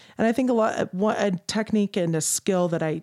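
In a very clean recording with a silent background and a dry, close sound with no echo, a woman talks at a moderate pace with ordinary pitch variation. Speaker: singer and voice teacher. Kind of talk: casual interview chat.

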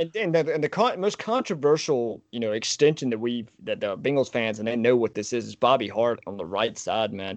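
This man talks at a fairly quick pace with hardly any pauses. His medium pitch carries lively intonation. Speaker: podcast co-host, football fan. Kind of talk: casual chat. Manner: fast; animated.

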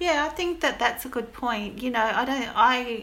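The voice belongs to a woman. Her accent is Australian. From Goulburn, New South Wales, Australia. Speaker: writer. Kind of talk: casual chat. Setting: remote recording.

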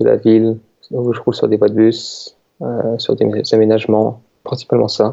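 Fairly slow and monotone, with a flat intonation, a man speaks at a medium pitch. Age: 20s. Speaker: researcher. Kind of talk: casual interview.

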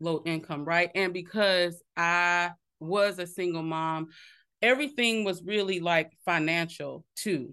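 Against a quiet background, a woman with an American accent speaks very slowly at a fairly low pitch. Her tone is bright and sharp, and her pitch varies in an ordinary way. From South Carolina, small town. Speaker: healthcare technology executive. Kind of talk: interview.

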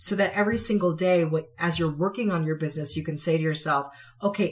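A woman's somewhat breathy, fairly low-pitched voice at a very fast pace, with ordinary pitch variation. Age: 40s. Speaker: podcast host and author. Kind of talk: solo motivational talk. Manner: animated; conversational, with fillers.

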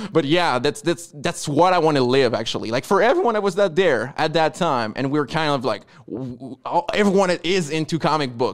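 A man talks at a fairly quick pace with a French Canadian accent. His pitch is fairly high and his intonation lively. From Quebec. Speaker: comic book publisher. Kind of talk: casual interview.

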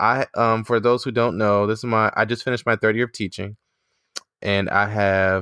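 A man speaks in a fairly low voice with an animated tone. The recording is very clean, with a silent background and a dry, close sound with no echo. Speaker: podcast host, educator. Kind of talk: casual chat, podcast intro. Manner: animated, laughing.

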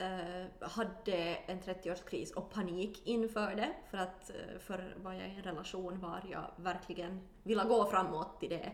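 A woman at a medium pitch speaks at a fairly slow pace with hardly any pauses and fairly even intonation, with audible echo in the room. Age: 30s. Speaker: actor and musical singer. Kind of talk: casual chat.

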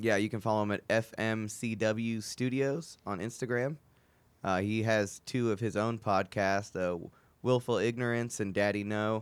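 A man speaks with a plain, everyday voice, fairly low in pitch, and his intonation stays fairly even. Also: moderate pace. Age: 20s. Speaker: comedian and podcast host. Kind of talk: casual chat.

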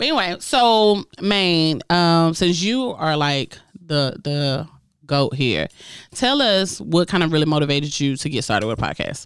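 A woman speaks with a very deep, low pitch and very wide pitch swings in an animated tone. Her pace is fairly slow, and the recording is very clean with a silent background. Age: 30s. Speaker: podcast host. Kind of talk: casual group chat between podcasters. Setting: studio. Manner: animated, joking.

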